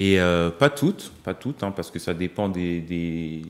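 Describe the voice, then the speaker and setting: A man speaks with a very deep, low pitch at a fairly slow pace, with ordinary pitch variation. The recording is very clean, the background silent. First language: Lingala (speaking French). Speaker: singer-songwriter. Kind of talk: TV interview. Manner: hesitant, many fillers.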